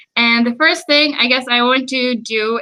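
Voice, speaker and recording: A woman speaks in a high pitch. She has an American accent. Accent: American-sounding English. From Sweden. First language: Swedish. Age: 20s. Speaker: YouTuber. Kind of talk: live stream chat. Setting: live stream. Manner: hesitant with fillers.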